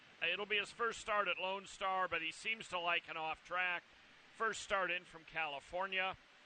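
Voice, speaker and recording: Projecting a raised voice, a man speaks at a moderate pace in a high, bright, sharp tone with fairly even intonation. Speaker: horse racing handicapper. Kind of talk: race preview analysis. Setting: outdoors at racetrack in rain. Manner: loud, near shouting.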